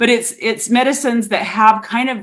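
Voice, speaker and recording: With a Utah accent, a woman speaks at a moderate pace. The recording is very clean, with a silent background. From Utah, USA. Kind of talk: conversational, reflective. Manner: loose enunciation.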